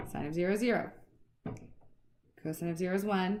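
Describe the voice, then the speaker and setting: A woman with a fairly low pitch talks at a very fast pace. Room echo is audible. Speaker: math teacher. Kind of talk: lecture.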